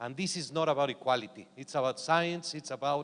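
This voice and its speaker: A man with a fairly high pitch and ordinary pitch variation. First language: not English. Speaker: boxing organization official. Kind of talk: conference panel discussion. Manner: halting.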